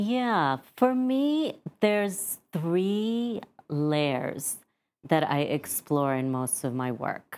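At a very slow pace, a woman speaks in a fairly low pitch with very wide pitch swings. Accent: American. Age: middle-aged. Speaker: playwright. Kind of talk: casual interview. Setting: studio.

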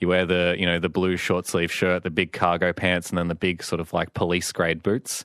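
Against a quiet background, a man with a very deep, low pitch talks at a fairly quick pace. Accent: Australian. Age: 20s. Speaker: psychologist. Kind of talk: radio interview. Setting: radio studio.

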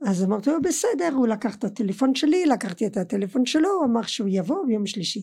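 In a French accent, a woman with a fairly high pitch and a dark, mellow tone talks at a fairly quick pace with hardly any pauses and very wide pitch swings. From France, Colmar (Alsace). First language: French (speaking Hebrew). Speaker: podcast guest, host's mother. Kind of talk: casual family chat. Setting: studio.

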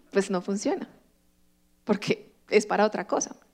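A woman's moderately paced speech comes on a very clean recording with a silent background. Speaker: pastor. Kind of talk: sermon.

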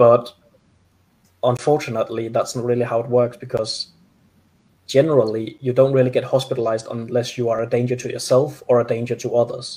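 The voice has a dark, mellow, somewhat breathy tone and moves at a fairly quick pace with monotone, flat intonation. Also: man, medium pitch for a man. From Denmark. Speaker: mental health advocate. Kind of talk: interview. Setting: video call.

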